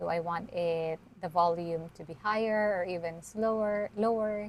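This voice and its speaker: A soft-spoken woman talks at a medium pitch and a moderate pace, her intonation fairly even. Her loudness swings widely. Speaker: YouTuber teaching video creation. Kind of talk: tutorial. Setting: live stream with screen share. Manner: unscripted, halting.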